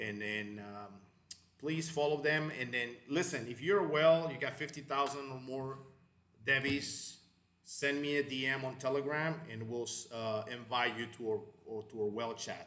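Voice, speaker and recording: With audible room echo, a man in a Spanish accent talks fairly slowly at a medium pitch, using ordinary pitch variation. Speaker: crypto channel host. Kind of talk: live stream chat. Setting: live online stream. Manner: hesitant, many fillers and repetitions.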